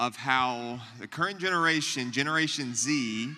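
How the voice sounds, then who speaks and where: The voice is loud, with a bright, sharp tone. The recording is very clean, with a silent background. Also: man. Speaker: youth pastor. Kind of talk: church teaching talk to audience. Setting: church luncheon with live audience. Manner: loud, projecting to room.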